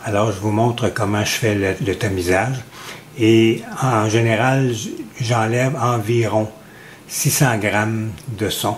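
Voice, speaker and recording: A man speaks at a very slow pace with fairly even intonation and long, frequent pauses. Noticeable background noise and audible room echo fill the recording. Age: 70s. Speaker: home cook. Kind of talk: tutorial. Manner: measured, with frequent hesitations.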